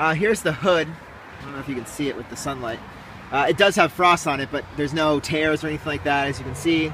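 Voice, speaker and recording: Very fast speech with ordinary pitch variation and big swings in loudness comes through noticeable background noise. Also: man, fairly high pitch for a man. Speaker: car salesman. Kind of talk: product walkaround video. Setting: outdoors. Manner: hesitant, many fillers.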